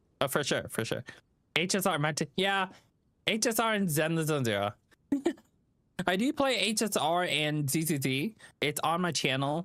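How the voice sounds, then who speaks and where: Long, frequent pauses break up the moderate pace of a man with a Vietnamese accent, whose high, bright, sharp voice has lively intonation and very even loudness in a very clean recording with a silent background. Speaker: gaming streamer. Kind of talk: live stream chat while gaming. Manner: halting, many fillers; casual, friendly.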